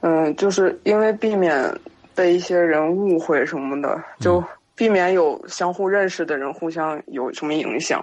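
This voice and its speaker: A woman's fairly low-pitched voice with ordinary pitch variation and a fairly slow pace. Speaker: guest storyteller sharing supernatural experiences. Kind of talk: casual storytelling on a live-streamed podcast. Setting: live stream.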